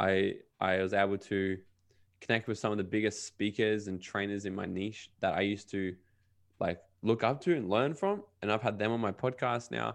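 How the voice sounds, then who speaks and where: Against a quiet background, a man with an Australian accent talks at a fairly low pitch with fairly even intonation. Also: moderate pace. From Australia (Brisbane and Gold Coast, Queensland). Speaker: podcast host and self-development coach. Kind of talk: casual interview chat.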